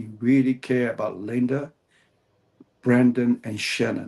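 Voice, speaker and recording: In a Cantonese accent, a man speaks at a medium pitch and a fairly slow pace. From Hong Kong. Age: 70s. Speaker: author, martial artist. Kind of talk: interview. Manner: halting.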